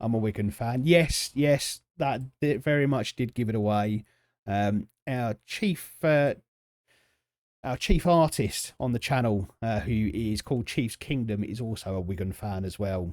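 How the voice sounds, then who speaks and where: A southern English accent with lively intonation at a fairly slow pace, in a very clean recording with a silent background. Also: man, medium pitch for a man. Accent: southern English, drops T's often. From South East London, England. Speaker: video game streamer. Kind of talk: live stream chat with game commentary. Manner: halting, many fillers and repetitions; casual.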